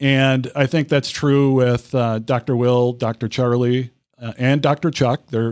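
A man talks at a fairly slow pace with an American accent. His is a plain, everyday voice. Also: dry, close sound with no echo. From southeastern Minnesota, US. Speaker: history museum director. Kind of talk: interview. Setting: on location at a history museum.

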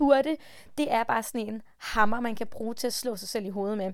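This is a woman speaking. Her voice is high. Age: 20s. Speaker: podcast host and self-esteem coach. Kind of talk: casual monologue.

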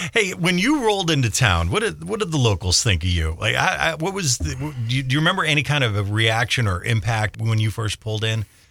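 Speaking at a very fast pace with hardly any pauses, a man swings his medium-pitched voice very widely. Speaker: radio interviewer. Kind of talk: interview.

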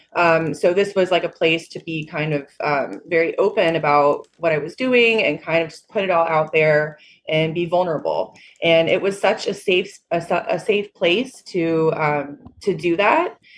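Using an ordinary speaking voice, a woman with an American accent talks at a fairly low pitch and a moderate pace with ordinary pitch variation. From Florida, Tampa area. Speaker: running group founder. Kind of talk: casual chat.

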